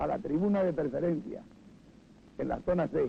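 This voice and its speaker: Speaking with ordinary pitch variation, a man has a high voice with a dark, mellow tone. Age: 70s. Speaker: former stadium usher. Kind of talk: interview testimony.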